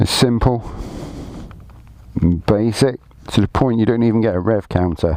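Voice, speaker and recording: With a British accent, a man of medium pitch speaks at a moderate pace and very even loudness, leaving long, frequent pauses, with ordinary pitch variation and noticeable background noise. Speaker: motorcycle rider. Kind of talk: casual talk to camera. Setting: outdoors.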